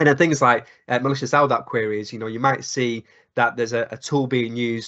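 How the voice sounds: A bright, sharp tone with fairly even intonation. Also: man.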